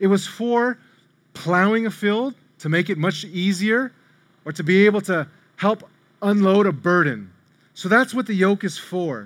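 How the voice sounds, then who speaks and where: On a very clean recording with a silent background, a man with an American accent talks at a fairly slow pace in a high pitch, with ordinary pitch variation and long, frequent pauses. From US inner city. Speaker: preacher. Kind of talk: sermon.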